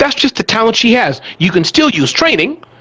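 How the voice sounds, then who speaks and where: With an animated tone and very wide pitch swings, a man talks at a fairly quick pace in a dry, close sound with no echo, over noticeable background noise. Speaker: small business expert and author. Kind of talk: interview conversation. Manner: fast.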